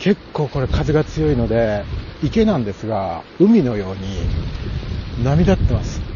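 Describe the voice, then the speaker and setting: Fairly slow speech from a man, noticeable background noise underneath. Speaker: podcaster. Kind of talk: walking monologue. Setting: outdoors walking around a pond. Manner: casual, with frequent fillers and laughter.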